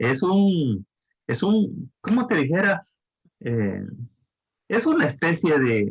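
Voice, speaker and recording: Speaking at a very slow pace, a man with fairly high pitch lets his voice swing very widely up and down. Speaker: thesis advisor. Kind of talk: advising session. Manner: slow and deliberate.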